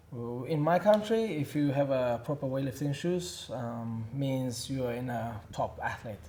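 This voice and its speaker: A man at medium pitch, with lively intonation, a fairly slow pace, hardly any pauses and noticeable background noise. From Uzbekistan. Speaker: weightlifting coach. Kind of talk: casual interview chat. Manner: halting.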